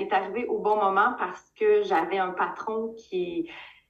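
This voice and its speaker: A woman with a Quebec accent speaks at a fairly high pitch with ordinary pitch variation. Audible room echo surrounds her voice. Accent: Québécois French. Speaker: direct sales leader. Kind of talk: interview.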